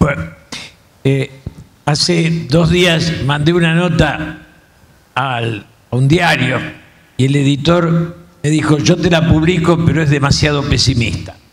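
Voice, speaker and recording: A man's fairly high voice at a very slow pace, with long, frequent pauses, fairly even intonation and very even loudness, amid noticeable background noise and audible room echo. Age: 70s. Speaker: political commentator. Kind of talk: panel talk. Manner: casual.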